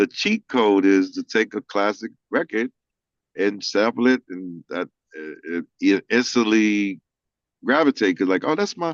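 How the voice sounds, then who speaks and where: A man speaks in a plain, everyday voice at a medium pitch and a fairly slow pace, with lively intonation. The recording is dry and close, with no echo. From Missouri, St. Louis/Kansas City. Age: 60s. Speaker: music industry executive. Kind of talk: casual interview chat.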